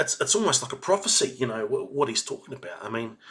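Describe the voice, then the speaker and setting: A man is talking. His speech carries a New Zealand accent. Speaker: video reactor. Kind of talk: reaction commentary. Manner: halting.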